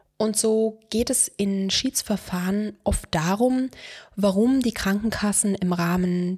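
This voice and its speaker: Somewhat breathy speech at a fairly slow pace with ordinary pitch variation, in a dry, close recording with no echo. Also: woman. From Brandenburg, eastern Germany. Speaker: lawyer. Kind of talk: scripted monologue. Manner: formal.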